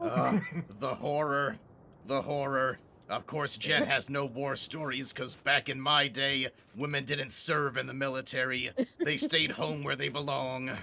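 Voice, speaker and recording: A gruff put-on character voice from a man, medium in pitch, at a moderate pace. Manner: curt, old-fashioned, dismissive.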